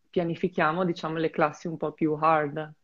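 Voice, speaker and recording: Her voice is a woman's, pitched fairly low. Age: 20s. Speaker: former student athlete, volleyball player. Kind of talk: interview. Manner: halting.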